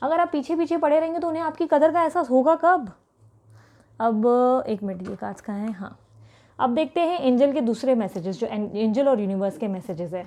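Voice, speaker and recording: Over a quiet background, a woman speaks at a moderate pace in a high pitch with very wide pitch swings and a dark, mellow tone. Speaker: tarot reader. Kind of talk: tarot reading for viewers. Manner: continuous talking.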